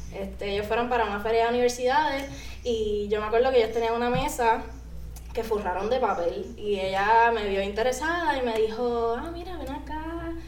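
A woman's fairly high voice, ordinary pitch variation and a moderate pace, with audible room echo and noticeable background noise. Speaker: artist and content creator. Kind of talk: casual interview. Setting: studio.

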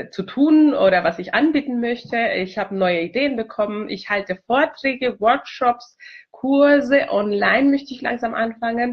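Lively intonation runs through this woman's fairly high-pitched voice. She keeps a moderate pace. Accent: Spanish. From Chile. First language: Spanish (speaking German). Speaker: multilingualism consultant. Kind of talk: video self-introduction. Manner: hesitant, many fillers.

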